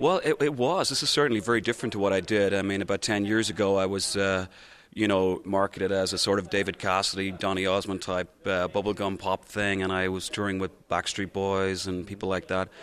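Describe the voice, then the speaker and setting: With an Irish accent, a man talks at a fairly quick pace in a fairly low pitch and fairly even intonation, on a very clean recording with a silent background. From Ireland. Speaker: singer and stage performer. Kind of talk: TV interview. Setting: TV studio at performing arts center. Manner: hesitant, many fillers.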